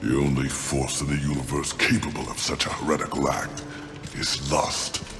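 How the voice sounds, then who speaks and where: Over loud music in the background, a man does a put-on character voice at a moderate pace, with a clear echo on the sound. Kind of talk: epic fantasy game acting. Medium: short film. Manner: formal, archaic phrasing.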